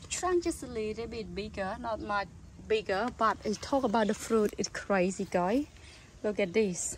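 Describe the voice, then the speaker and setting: A woman's somewhat breathy, fairly high voice, with ordinary pitch variation and a fairly slow pace. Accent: non-native. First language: not English. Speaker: gardening vlogger. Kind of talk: casual video tutorial/garden tour. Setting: outdoors in garden. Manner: halting, enthusiastic, simple grammar.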